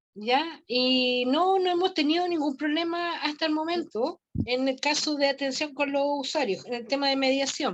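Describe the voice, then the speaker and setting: Her voice is high-pitched. The woman varies her pitch in an ordinary way. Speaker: family mediator. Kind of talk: casual chat. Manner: halting.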